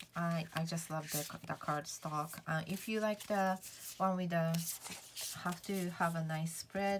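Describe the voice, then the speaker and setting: A woman's fairly low voice with a non-native accent, a very slow pace and fairly even intonation. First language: not English. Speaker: tarot vlogger. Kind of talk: casual chat. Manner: halting, many fillers.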